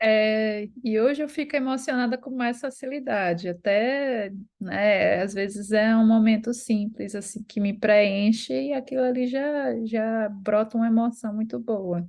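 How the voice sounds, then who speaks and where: A woman's fairly high voice, a normal speaking voice, at a fairly slow pace with hardly any pauses. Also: ordinary pitch variation. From Brazil, Recife. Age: 30s. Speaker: course student sharing her story. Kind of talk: testimony.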